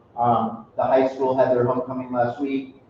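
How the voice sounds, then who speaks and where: A man's medium-pitched voice comes at a moderate pace, with noticeable background noise in the clip. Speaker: school principal. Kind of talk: meeting announcements. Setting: school meeting, livestreamed.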